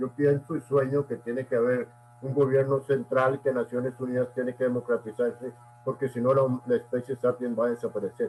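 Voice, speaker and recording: This man's voice sits at a medium pitch. He talks at a fairly quick pace in a monotone, flat intonation. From Costa Rica. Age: 80s+. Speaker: essayist and language academy member. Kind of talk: interview. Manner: formal.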